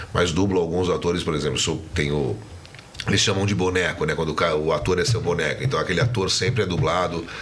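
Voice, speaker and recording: Over noticeable background noise and audible room echo, a man with a very deep, low pitch talks at a very fast pace, his loudness very even and his pitch variation ordinary. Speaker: voice actor. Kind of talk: interview.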